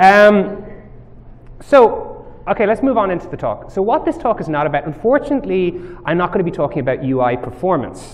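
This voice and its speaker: A man with an Irish accent speaks at a fairly quick pace in a high pitch with very wide pitch swings. Noticeable background noise runs underneath. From Ireland. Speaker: mobile software developer, conference speaker. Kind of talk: tech talk presentation. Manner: casual, many filler words.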